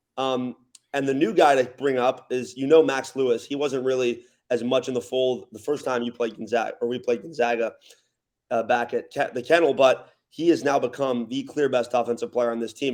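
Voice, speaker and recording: In an American accent, a man with an ordinary speaking voice talks at a fairly quick pace, medium in pitch with fairly even intonation. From Los Angeles area, California. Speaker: college basketball public address announcer. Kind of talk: sports podcast guest analysis.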